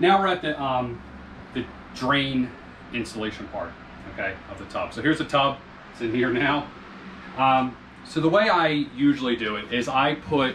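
A man talks at a moderate pace with long, frequent pauses over light background noise. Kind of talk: tutorial. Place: bathroom.

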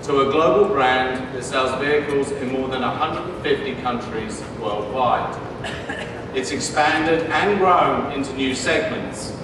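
A man talks at a very slow pace with ordinary pitch variation. Noticeable background noise and audible room echo surround him. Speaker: presenter. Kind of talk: keynote presentation speech. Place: stage.

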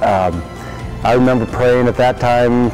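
Moderately paced male speech, clear music playing underneath. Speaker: new head basketball coach. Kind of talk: interview answer. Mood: warm, earnest. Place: hall. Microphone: lapel.

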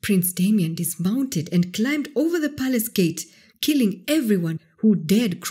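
Someone reads aloud plainly, their intonation lively.

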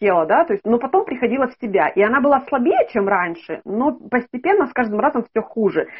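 Her high voice swings very widely in pitch as a woman talks at a fairly quick pace with hardly any pauses. The background is quiet. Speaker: caller seeking consultation; caller. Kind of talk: interview answer. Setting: video call. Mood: earnest, personal story. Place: home room. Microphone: video call.

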